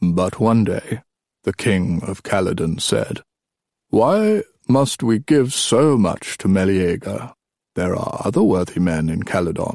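A man's put-on character voice, low and slow, with a slightly mellow tone, vocal fry, big pitch swings and a dry, close sound with no echo

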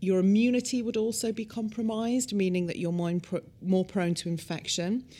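A woman's dark, mellow voice in a British accent, with ordinary pitch variation and a fairly quick pace. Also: medium pitch for a woman. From UK. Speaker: cosmetic scientist. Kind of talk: expert interview explanation.

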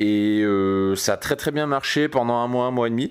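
This man's moderately paced speech, lively in intonation, is captured on a very clean recording with a silent background. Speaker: dating coach and podcast host. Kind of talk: solo podcast monologue. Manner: calm, relaxed.

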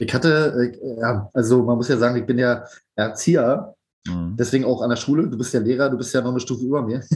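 Somewhat breathy, a man's medium-pitched voice races along at a very fast pace. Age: 30s. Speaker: band drummer and educator. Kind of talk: casual chat.

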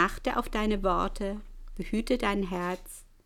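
A woman talks at a very slow pace with lively intonation. The recording is very clean, with a silent background. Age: 60s. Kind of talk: testimony.

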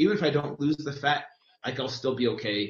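A somewhat breathy man talks with an American accent. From California. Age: 40s. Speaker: personal trainer. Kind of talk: casual chat.

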